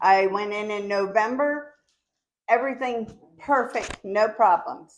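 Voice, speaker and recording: A woman with a fairly high voice and ordinary pitch variation talks at a very slow pace. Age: 60s. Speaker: resident affected by derailment. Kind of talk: personal testimony. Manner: halting, with hesitations.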